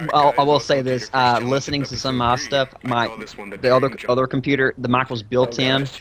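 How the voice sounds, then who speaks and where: With a strong Southern US accent, a man of medium pitch speaks at a fairly quick pace in a monotone, flat delivery against noticeable background noise. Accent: thick Southern US. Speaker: gameshow host and commentary organizer. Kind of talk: casual group commentary. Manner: halting, many fillers.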